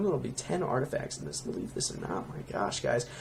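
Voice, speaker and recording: The man's voice sits fairly high in pitch. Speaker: Minecraft plugin creator, YouTuber. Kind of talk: casual tutorial-style showcase. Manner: fast; animated, many fillers.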